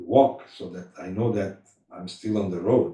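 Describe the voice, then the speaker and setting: The voice is somewhat breathy and dark, mellow in tone, moving at a fairly slow pace with ordinary pitch variation. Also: man. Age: 70s. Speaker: spiritual practitioner recounting memories. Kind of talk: interview reminiscence. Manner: halting.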